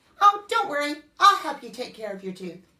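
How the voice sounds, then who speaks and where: A woman performs a put-on character voice, high in pitch. She moves at a fairly quick pace with very wide pitch swings. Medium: read story.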